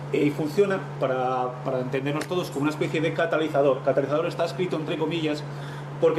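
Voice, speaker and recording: Very fast, fairly high-pitched male speech with a Spanish accent and fairly even intonation, plus noticeable background noise and audible room echo. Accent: Peninsular Spanish. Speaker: technical presenter, marine engine equipment. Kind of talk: technical presentation.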